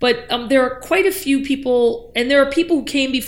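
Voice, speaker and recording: A woman with an American accent and a plain, everyday voice, at a fairly quick pace with ordinary pitch variation. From Upper Peninsula of Michigan. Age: 50s. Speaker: professor. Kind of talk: interview. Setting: office.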